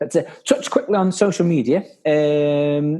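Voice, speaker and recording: A man talks with a Staffordshire accent. His pitch is fairly high, with a dark, mellow tone. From Staffordshire, England. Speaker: podcast host. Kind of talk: casual chat.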